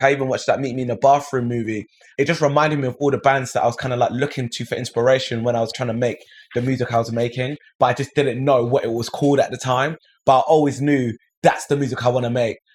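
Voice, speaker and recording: Speaking very fast, a man with a London accent sounds energetic. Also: medium pitch for a man. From south London, England. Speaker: musician. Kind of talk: interview.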